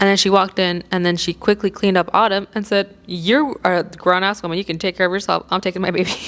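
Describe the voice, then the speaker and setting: At a medium pitch, a woman speaks with an animated tone at a fairly quick pace. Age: 30s. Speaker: podcast co-host. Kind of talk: casual chat.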